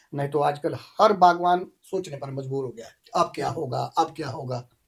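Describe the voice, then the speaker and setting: This man has a fairly high pitch and a somewhat breathy voice. He keeps a moderate pace, with ordinary pitch variation and big swings in loudness. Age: 60s. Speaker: apple farmer. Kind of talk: casual chat.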